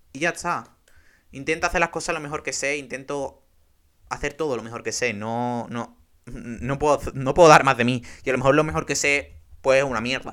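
A man is speaking here. His pitch is fairly high and his pace is moderate. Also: ordinary pitch variation. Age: 20s. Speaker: podcaster. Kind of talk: casual monologue. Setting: bedroom. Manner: animated.

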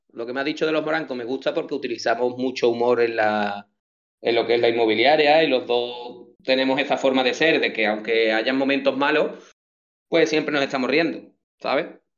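Fairly even intonation carries a man's medium pitch as he talks quickly, at a fairly quick pace, in an unremarkable speaking voice. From Andalusia, Chipiona (Cádiz). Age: 30s. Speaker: real estate agent. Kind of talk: casual interview chat.

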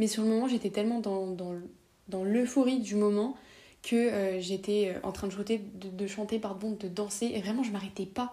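This woman's medium-pitched voice has a dark, mellow tone and is somewhat breathy. She talks at a fairly slow pace. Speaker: podcaster. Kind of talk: storytelling monologue. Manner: animated.

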